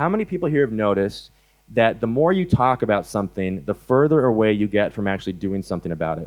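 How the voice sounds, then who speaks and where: An American accent at a very fast pace, with very wide pitch swings. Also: man, fairly low pitch for a man. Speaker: animal rights activist speaker. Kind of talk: conference talk. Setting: stage with audience. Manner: hesitant, many fillers.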